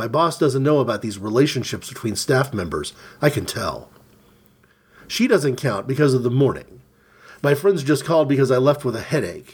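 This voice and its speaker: The man's pace is moderate. There is a somewhat breathy quality to his voice. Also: medium pitch for a man, ordinary pitch variation. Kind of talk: literary audiobook reading of a surreal short story.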